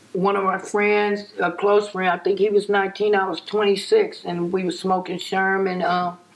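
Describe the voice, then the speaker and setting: With an American accent, a woman speaks at medium pitch and a moderate pace in monotone, flat intonation, with noticeable background noise. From Compton, Los Angeles, California. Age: 60s. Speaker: interviewee recalling neighborhood gang history. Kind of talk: interview.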